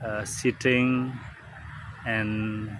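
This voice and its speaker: A man with an Indonesian accent and a fairly low pitch, over noticeable background noise. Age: 40s. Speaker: vlogger. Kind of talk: casual monologue. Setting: outdoors in a park. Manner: halting, many fillers.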